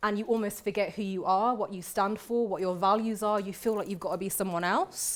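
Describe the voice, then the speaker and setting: A woman talks at a fairly quick pace in a Birmingham accent. The recording is very clean, with a silent background. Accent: Birmingham (Brummie). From England, Birmingham (West Midlands). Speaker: barrister. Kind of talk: lecture. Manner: conversational.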